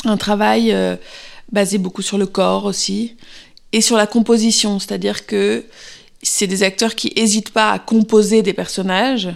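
On a very clean recording with a silent background, a woman of medium pitch speaks at a very slow pace. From Paris, France. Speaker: actress. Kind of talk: interview. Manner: hesitant, many fillers and repetitions.

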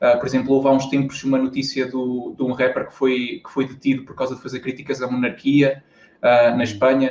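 A man with a European Portuguese accent talks at a fairly quick pace and medium pitch, his intonation monotone and flat while his loudness swings widely. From Portugal, interior (Viseu district). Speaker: YouTuber and university student. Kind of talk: casual interview. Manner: hesitant, repeats words.

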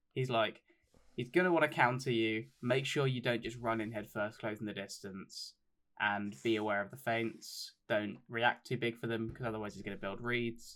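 Speaking at a moderate pace in an ordinary speaking voice, a man shows ordinary pitch variation in a very clean recording with a silent background. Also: medium pitch for a man. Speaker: podcast co-host. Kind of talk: casual chat about MMA.

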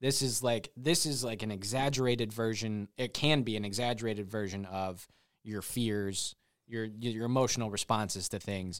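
In an American accent, a man speaks at a moderate pace with a medium pitch and ordinary pitch variation. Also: very clean recording, silent background. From US Midwest. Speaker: church videographer. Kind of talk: casual podcast interview. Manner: halting, with many false starts and fillers; self-conscious and laughs often.

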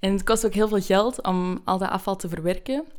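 A woman's medium-pitched voice moves with fairly even intonation. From Belgium. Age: 20s. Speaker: student. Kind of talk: podcast interview.

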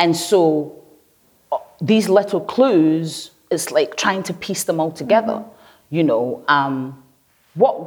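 A woman with a Glaswegian accent speaks fairly slowly in a fairly low voice. Her intonation is lively. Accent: Glaswegian Scottish. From Nigeria (Lagos), then Glasgow East End from age 10. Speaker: researcher and painter. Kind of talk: conversational interview.

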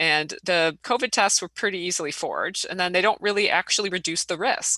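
An American accent from a woman with a bright, sharp tone, at a moderate pace with ordinary pitch variation, in a dry, close sound with no echo over a quiet background. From Illinois. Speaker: engineering professor. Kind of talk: interview. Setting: remote recording.

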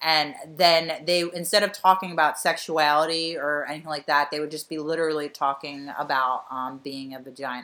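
Recorded very cleanly against a silent background, a woman with an American accent speaks at a moderate pace in a very deep, low pitch, her tone bright and sharp, her intonation fairly even, her loudness swinging widely, and hardly any pauses. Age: 30s. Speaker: podcast co-host, comedian. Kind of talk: casual chat.

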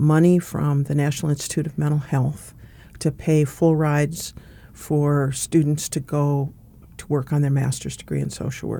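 A woman with an American accent talks at a moderate pace in a very deep, low pitch. Her tone is dark and mellow, and her intonation stays monotone and flat. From North Dakota (Fargo), US Upper Midwest. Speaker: social work professor and former dean. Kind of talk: interview.

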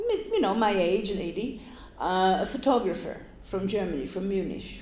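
A woman speaks at a fairly slow pace with ordinary pitch variation. Noticeable background noise is audible. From Poland, Gdynia on the Baltic coast. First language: Polish. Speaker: oral history interviewee. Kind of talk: oral history interview. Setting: public library.

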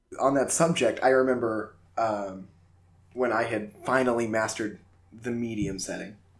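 Audible room echo surrounds a man's medium-pitched voice. He keeps a moderate pace and fairly even intonation. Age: 20s. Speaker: podcast host. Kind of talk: casual chat.

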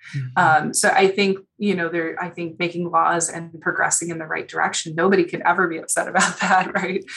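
A woman's fairly quick, fairly low-pitched voice in an American accent, monotone and flat in intonation with big swings in loudness, over noticeable background noise. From Chicago, US Midwest. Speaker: forensic veterinarian. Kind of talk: interview. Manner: hesitant with many fillers.

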